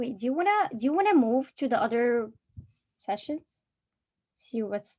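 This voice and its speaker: A woman with an Arabic accent, high-pitched yet dark and mellow in tone, her pitch swinging very widely at a moderate pace. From Egypt. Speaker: college student presenter. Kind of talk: casual chat.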